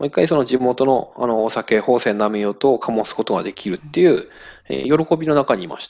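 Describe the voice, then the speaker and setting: Here is an ordinary speaking voice, delivered at a fairly quick pace. Its pitch varies in an ordinary way. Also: man, medium pitch for a man. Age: 40s. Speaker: sake brewery owner. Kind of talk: interview.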